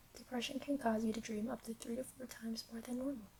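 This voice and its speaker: A woman whispers in a soft-spoken way. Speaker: ASMR creator. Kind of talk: ASMR fact reading. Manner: soft-spoken, whispered.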